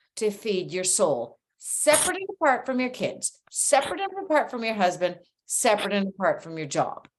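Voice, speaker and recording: A woman's fairly high voice, with very wide pitch swings and big swings in loudness. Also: moderate pace. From Canada. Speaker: clothing and accessory designer. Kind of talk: interview.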